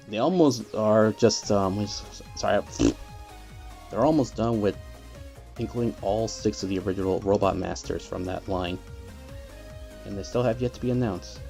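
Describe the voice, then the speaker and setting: A soft-spoken man with a fairly low pitch speaks with lively intonation and long, frequent pauses. Music plays in the background. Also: moderate pace. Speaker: toy collector. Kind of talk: casual talk to camera.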